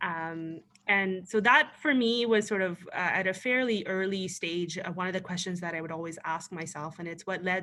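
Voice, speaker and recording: In a Pakistani accent, a woman speaks at a moderate pace with a bright, sharp tone and fairly low pitch, on a very clean recording with a silent background. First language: Urdu. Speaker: panelist, former political candidate. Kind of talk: panel discussion. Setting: virtual event. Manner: hesitant, many fillers.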